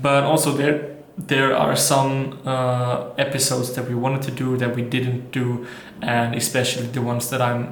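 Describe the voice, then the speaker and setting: With an Austrian accent, this speaker uses a monotone, flat intonation at a moderate pace, amid noticeable background noise and audible room echo. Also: man, medium pitch for a man. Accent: German-speaking (Austrian) accent in English. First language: German. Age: 20s. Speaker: vlogger and entrepreneur. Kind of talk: casual vlog monologue. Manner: halting, many fillers and restarts.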